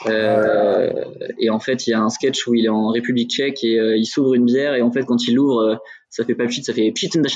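A man with an unremarkable speaking voice talks at a moderate pace and a medium pitch. His intonation is fairly even, and his loudness stays very even. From Burgundy, France. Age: 30s. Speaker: brewery co-founder. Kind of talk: casual interview. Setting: in the brewery, remote video call.

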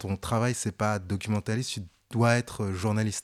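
A man with a normal speaking voice talks at a fairly low pitch with fairly even intonation. The recording is very clean with a silent background, and the sound is dry and close with no echo. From France, Paris suburbs housing estate. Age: 30s. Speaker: fashion journalist and content creator. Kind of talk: interview.

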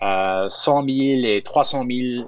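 This is a man with a medium-pitched voice. His intonation is fairly even. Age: 20s. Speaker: media founder. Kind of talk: interview. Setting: outdoors in a park.

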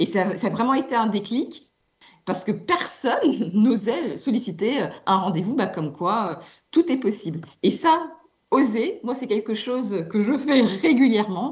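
Somewhat breathy and fairly high, a woman's voice moves through very wide pitch swings at a fairly slow pace. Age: 50s. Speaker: communications executive. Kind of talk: radio interview.

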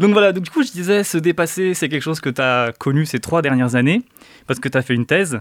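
A very fast-talking man with lively intonation. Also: fairly high pitch for a man. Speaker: podcast host. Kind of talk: casual chat. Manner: halting.

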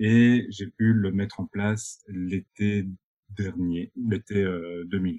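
A man's dark, mellow voice, fairly low in pitch, monotone and flat, at a very slow pace in a dry, close sound with no echo. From Belgium, Binche (Hainaut). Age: 20s. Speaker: eco-tourism entrepreneur. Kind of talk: interview conversation.

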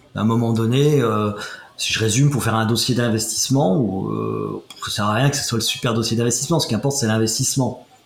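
Amid noticeable background noise and audible room echo, a man at a medium pitch speaks at a fairly quick pace with fairly even intonation. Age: 50s. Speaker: comedian and former finance executive. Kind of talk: interview. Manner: halting.

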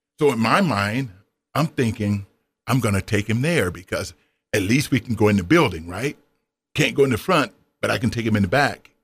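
On a very clean recording with a silent background, a somewhat breathy man talks at a fairly quick pace and medium pitch, with long, frequent pauses. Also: lively intonation. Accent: American. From US South. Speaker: retired former college basketball player and author. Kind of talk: interview. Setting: radio studio.

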